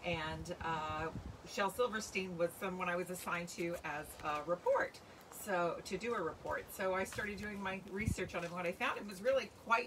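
A woman at a moderate pace, ordinary pitch variation, noticeable background noise behind her. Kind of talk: casual livestream talk. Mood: warm, friendly. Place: garden. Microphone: phone near.

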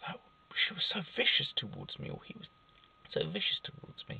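The sound is dry and has no echo. The man keeps to a moderate pace. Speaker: self-help vlogger. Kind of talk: casual vlog chat. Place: car. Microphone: phone near.

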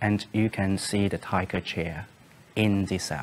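A man's very deep, low-pitched voice over light background noise. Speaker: interviewee. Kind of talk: interview answer. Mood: calm, serious recounting. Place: studio.

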